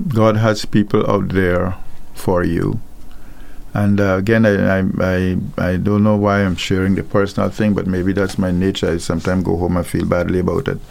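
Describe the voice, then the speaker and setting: A man speaks in a very deep, low voice at a moderate pace. His intonation is monotone and flat. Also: very even loudness. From Guyana. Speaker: pastor. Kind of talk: radio teaching on a live call-in show. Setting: radio studio. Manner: hesitant, many fillers and repeated words.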